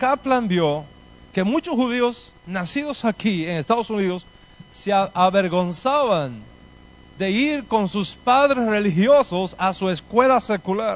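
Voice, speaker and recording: Lively intonation carries this man's high-pitched voice. His pace is very slow. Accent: Spanish. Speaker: rabbi. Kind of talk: lecture.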